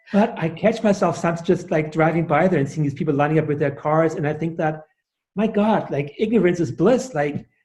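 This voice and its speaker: At a fairly quick pace, a man with a high pitch talks with ordinary pitch variation. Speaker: sound healer and author. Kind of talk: interview. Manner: halting, many fillers.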